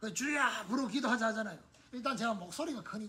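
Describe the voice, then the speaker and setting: A man with a high pitch uses a raised, projected voice, with audible room echo and noticeable background noise. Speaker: pastor. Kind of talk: sermon. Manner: conversational.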